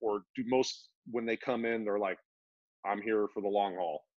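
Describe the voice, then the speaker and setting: A man speaks at a moderate pace with ordinary pitch variation, the sound dry with no echo and the background quiet. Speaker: podcast host. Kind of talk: casual interview. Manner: casual. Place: home room. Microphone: video call.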